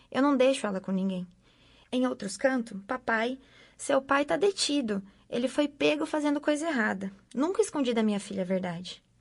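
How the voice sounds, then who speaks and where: Over a quiet background, a woman speaks at a moderate pace in a high pitch with very wide swings. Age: 60s. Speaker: mother of a prisoner. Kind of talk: testimony. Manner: animated.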